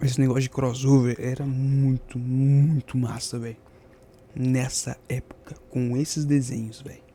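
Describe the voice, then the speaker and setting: A soft-spoken man at a medium pitch, fairly slow and monotone, with flat intonation but big swings in loudness. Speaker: streamer reacting to a video. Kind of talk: casual chat.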